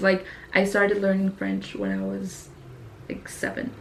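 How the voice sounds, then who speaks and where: Noticeable background noise and audible room echo surround the recording. A woman speaks at a moderate pace. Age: 20s. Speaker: YouTuber. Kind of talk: casual vlog monologue. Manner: casual, many fillers ('like').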